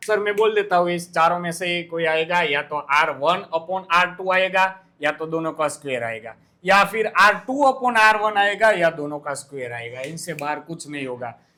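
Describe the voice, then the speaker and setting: The tone is bright and sharp, with lively intonation. The pace is moderate, with hardly any pauses. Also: man, high pitch for a man. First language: Gujarati (speaking Hindi). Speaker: teacher. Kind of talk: exam tutorial.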